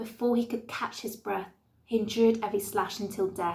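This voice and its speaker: A woman's medium-pitched voice with vocal fry and a flat, monotone delivery. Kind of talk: spoken word poetry performance.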